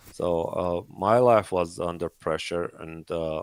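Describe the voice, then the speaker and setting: A man with a Persian accent and a very deep, low pitch, in a dry, close sound with no echo and a very clean recording with a silent background. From Iran. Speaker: 3D artist. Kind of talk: interview on a livestream. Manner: halting, many fillers.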